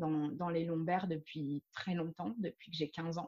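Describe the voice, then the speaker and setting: Talking at a fairly quick pace, a woman uses a plain, everyday voice with fairly low pitch and fairly even intonation. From France. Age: 30s. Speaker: yoga teacher. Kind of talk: interview.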